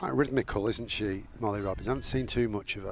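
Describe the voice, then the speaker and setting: A man with a northern English accent speaks in a fairly low pitch. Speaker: cricket commentator. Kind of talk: live commentary.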